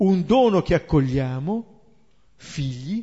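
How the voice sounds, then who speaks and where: Lively intonation runs through this man's high-pitched speech. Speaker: Bible teacher. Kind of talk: lecture.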